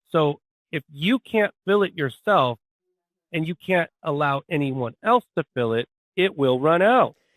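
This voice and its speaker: A man with an ordinary speaking voice, fairly high pitch, lively intonation and a fairly slow pace. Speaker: podcast host. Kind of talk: casual conversational talk.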